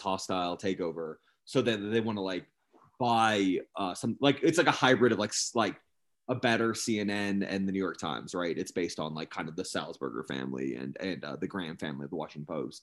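Against a quiet background, a man with vocal fry and a fairly low pitch talks at a fairly quick pace with lively intonation. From Los Angeles. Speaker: music journalist and record label head. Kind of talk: casual interview chat. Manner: halting, many false starts.

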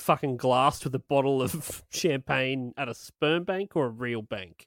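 Speaking with an Australian accent and lively intonation, this voice comes through a very clean recording with a silent background and a dry, close sound with no echo. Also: man. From Australia, Illawarra region. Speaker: podcast host. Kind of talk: casual chat. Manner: animated.

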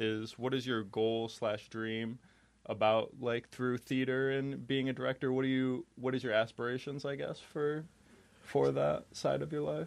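With an American accent and an unremarkable speaking voice, a man of medium pitch talks at a fairly slow pace with ordinary pitch variation against a quiet background. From New York State. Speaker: podcast host. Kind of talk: casual interview. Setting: studio.

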